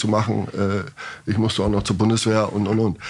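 A man with a fairly low pitch speaks in an unremarkable speaking voice. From northern Germany, near Bremen. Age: 50s. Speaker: goalkeeping coach. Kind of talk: podcast interview.

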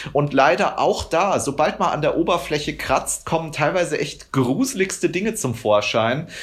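Fairly high-pitched male speech, somewhat breathy, at a moderate pace. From rural Germany. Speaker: animal rights activist. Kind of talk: interview.

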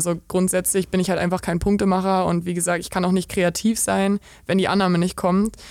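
Her delivery fairly quick, a woman with a medium pitch speaks in a monotone, flat intonation. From eastern Germany, Brandenburg (Eisenhüttenstadt). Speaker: professional volleyball player. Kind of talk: interview. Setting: VIP lounge of the club.

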